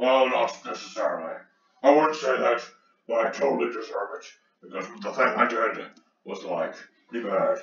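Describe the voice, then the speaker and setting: Someone puts on a character voice at a moderate pace, leaving long, frequent pauses, with a slight echo. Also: man. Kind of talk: comic overacting. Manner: mopey, self-pitying.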